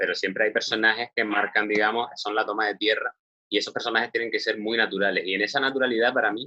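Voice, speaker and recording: In a Canarian accent, a man speaks. His pace is very fast. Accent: Canarian Spanish, marked. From Canary Islands, Spain. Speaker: screenwriter and director. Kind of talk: interview. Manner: hesitant, with fillers.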